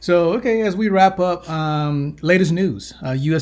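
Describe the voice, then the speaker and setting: Heard in a very clean recording with a silent background, a man with an American accent sounds somewhat breathy, with ordinary pitch variation. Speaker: podcast host. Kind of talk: scripted intro and news reading.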